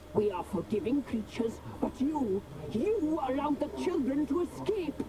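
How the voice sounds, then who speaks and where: A high-pitched, put-on character voice goes at a moderate pace over loud background noise. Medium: game stream. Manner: imperious, menacing.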